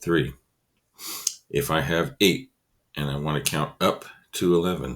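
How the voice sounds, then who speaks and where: A man with a very deep, low pitch and vocal fry speaks at a fairly slow pace. He shows ordinary pitch variation and takes long, frequent pauses. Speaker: elementary school teacher. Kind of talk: tutorial.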